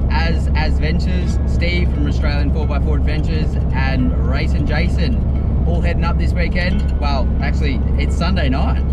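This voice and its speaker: Speech comes at a moderate pace with music in the background. The sound is dry, with no echo. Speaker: 4x4 trip vlogger. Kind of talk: casual vlog chat. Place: car. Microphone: phone near.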